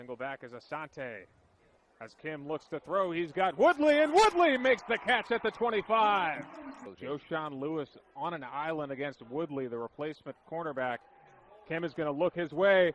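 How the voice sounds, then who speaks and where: A plain, everyday voice from a man, fairly high in pitch, with lively intonation at a moderate pace. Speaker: sports broadcaster, play-by-play announcer. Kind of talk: live sports play-by-play commentary.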